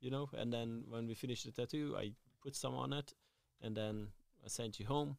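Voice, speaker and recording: A man's medium-pitched voice with a Hungarian accent, ordinary pitch variation, a moderate pace and long, frequent pauses. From Hungary. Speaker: tattoo artist and shop owner. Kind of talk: casual interview chat.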